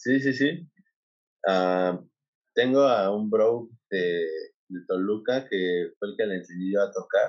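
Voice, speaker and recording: Very slow and marked by long, frequent pauses, a man's fairly low voice shows ordinary pitch variation. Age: 20s. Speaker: DJ and music producer. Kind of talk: casual chat.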